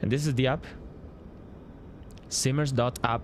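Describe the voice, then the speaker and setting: Speaking at a moderate pace, a man with a Spanish accent keeps his intonation fairly even. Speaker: flight sim streamer and app developer. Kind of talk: live stream commentary. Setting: live stream. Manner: halting, many fillers.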